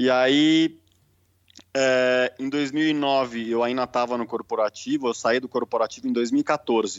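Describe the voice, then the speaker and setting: A man talks very slowly at a medium pitch, his intonation fairly even. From Brazil, São Paulo. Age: 30s. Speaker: holistic therapist. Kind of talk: casual interview.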